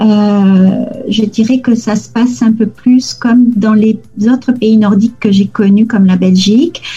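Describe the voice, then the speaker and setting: A woman speaks in a normal speaking voice at a fairly slow pace, her fairly high pitch moving in fairly even intonation at a very even loudness. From southern France, near Toulouse. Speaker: lawyer. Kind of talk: interview.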